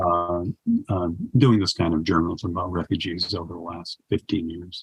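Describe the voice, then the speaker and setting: This man speaks at a moderate pace in a very deep, low pitch, somewhat breathy, with fairly even intonation. His loudness swings widely. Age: 70s. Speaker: poet and war correspondent. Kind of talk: interview conversation. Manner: halting, many fillers.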